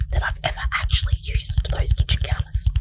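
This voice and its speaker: Someone whispers over noticeable background noise. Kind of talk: whispered gaming narration for relaxation. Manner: whispered.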